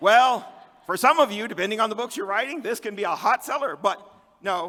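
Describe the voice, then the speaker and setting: The voice is raised and projected, with lively intonation and a fairly quick pace. Noticeable background noise is present. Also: man, high pitch for a man. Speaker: conference speaker and fantasy author. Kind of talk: conference talk. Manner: fast.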